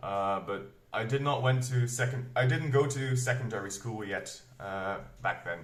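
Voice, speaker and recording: A somewhat breathy man speaks at a moderate pace with ordinary pitch variation, and audible room echo fills the space. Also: medium pitch for a man. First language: Flemish Dutch dialect. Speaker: booktuber, metal reviewer. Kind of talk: casual vlog talk. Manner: hesitant, many fillers.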